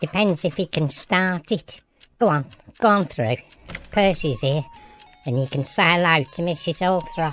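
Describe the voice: A put-on character voice at a middle pitch and moderate pace, with long, frequent pauses.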